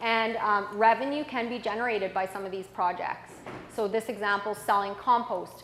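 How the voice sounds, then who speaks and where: Audible room echo surrounds a woman speaking at medium pitch with fairly even intonation. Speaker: conference presenter. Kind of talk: conference presentation.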